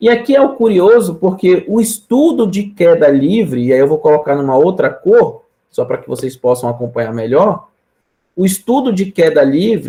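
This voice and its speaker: This man has a high pitch and a dark, mellow tone. His pitch swings very widely at a moderate pace. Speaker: physics professor. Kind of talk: lecture. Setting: live-streamed online class.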